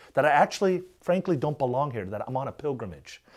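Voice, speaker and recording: A man with an American accent speaks at a fairly high pitch with vocal fry and very wide pitch swings. The recording is very clean, with a silent background. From Korea, then raised in the US. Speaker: evangelical organization president. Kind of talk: interview. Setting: interview.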